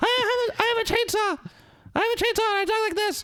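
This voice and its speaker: The voice is a put-on character voice at an extremely high pitch. It runs at a very fast pace. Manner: menacing, growly.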